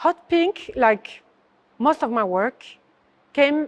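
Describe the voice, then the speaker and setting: A woman with a French accent speaks at a high pitch and a very slow pace, her pitch swinging very widely, in a dry, close recording with no echo. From southern France. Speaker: artist. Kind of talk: interview. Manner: halting.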